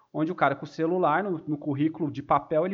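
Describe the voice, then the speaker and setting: A man with an unremarkable speaking voice, lively intonation and a fairly high pitch. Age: 20s. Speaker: economist and project manager. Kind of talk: casual chat.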